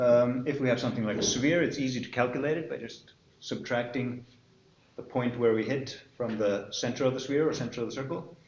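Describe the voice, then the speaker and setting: A man's medium-pitched voice at a very fast pace, with fairly even intonation and an Icelandic accent, amid audible room echo and noticeable background noise. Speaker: university lecturer. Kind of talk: lecture. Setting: classroom with students.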